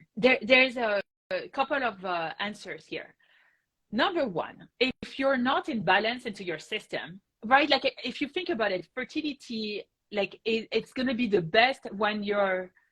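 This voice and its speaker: A French accent with lively intonation at a fairly slow pace, dry and close with no echo. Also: woman, fairly high pitch for a woman. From France. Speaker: rheumatologist. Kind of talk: interview answer.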